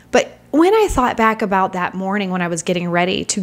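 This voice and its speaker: In a normal speaking voice of medium pitch, a woman talks at a fairly quick pace. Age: 40s. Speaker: author and podcast host. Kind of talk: casual solo podcast talk. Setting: home with background noise. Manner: chatty, upbeat.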